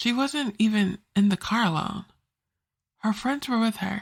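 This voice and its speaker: Speaking fairly slowly, a woman's voice sits fairly high and sounds somewhat breathy. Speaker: author and podcast narrator. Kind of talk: first-person letter read aloud.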